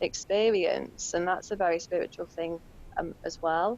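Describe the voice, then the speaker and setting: Her intonation is fairly even as a woman talks with a British accent. She keeps a moderate pace. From UK. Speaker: intuitive painter. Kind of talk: podcast interview.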